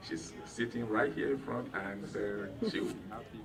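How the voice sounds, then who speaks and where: A man speaks with music in the background and audible room echo. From Nigeria. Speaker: event host, attorney. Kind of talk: welcome speech. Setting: private home reception with audience.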